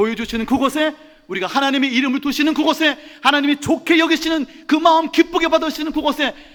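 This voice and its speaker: The pace runs fairly quick. A bright, sharp tone carries the speech. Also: man. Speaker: pastor. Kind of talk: sermon. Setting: church. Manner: fast.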